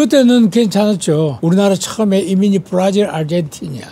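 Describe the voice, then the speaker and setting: With lively intonation and a moderate pace, a man speaks against noticeable background noise. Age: 80s+. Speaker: retired travel agent. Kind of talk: street interview answer.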